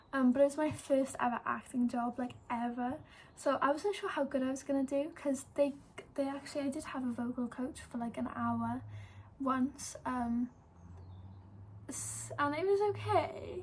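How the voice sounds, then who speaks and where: A woman speaks in a Welsh accent at a high pitch. Her pace is moderate, with ordinary pitch variation. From Wales. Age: 18. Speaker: YouTuber and model. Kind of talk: casual vlog storytelling. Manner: chatty with many fillers.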